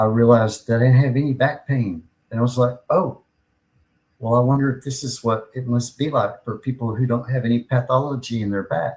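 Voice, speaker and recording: With an American accent, a man speaks at medium pitch and a fairly quick pace, somewhat breathy, with fairly even intonation. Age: 60s. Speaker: podcast host and pain patient. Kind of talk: personal testimony.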